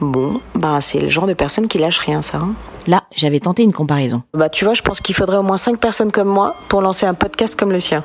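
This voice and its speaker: A woman talks at a fairly quick pace in an animated tone, with lively intonation at a medium pitch. Noticeable background noise is present. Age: 30s. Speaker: podcaster. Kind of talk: personal storytelling.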